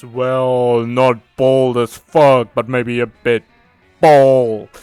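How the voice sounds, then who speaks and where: A put-on character voice speaks at a very slow pace in a monotone, flat intonation. Faint music plays in the background. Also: man, medium pitch for a man. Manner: opinionated, judgy.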